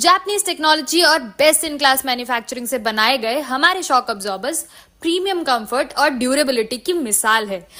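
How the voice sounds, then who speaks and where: A woman speaks in a raised, projected voice, high in pitch, with a bright, sharp and confident tone. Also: lively intonation, hardly any pauses. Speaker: voice over student. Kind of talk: reading aloud ad script.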